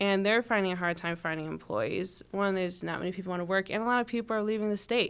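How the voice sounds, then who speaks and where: Very fast and fairly even in intonation, a woman with an American accent speaks at medium pitch. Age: 20s. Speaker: political candidate. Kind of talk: interview.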